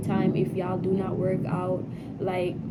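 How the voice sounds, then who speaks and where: A woman is heard with audible room echo. Noticeable background noise runs underneath. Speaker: Navy sailor vlogger. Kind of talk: casual advice vlog. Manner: repetitive, halting.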